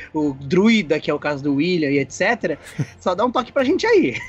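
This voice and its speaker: This man speaks at a fairly quick pace in a high pitch. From São Paulo, Brazil. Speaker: visually impaired RPG player. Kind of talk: casual chat.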